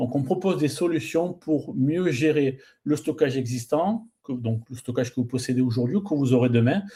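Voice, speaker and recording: With a southern French accent, a man speaks at a fairly high pitch and moderate pace, his somewhat breathy voice dark and mellow in tone, with ordinary pitch variation. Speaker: pre-sales director at software company. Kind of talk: webinar panel presentation.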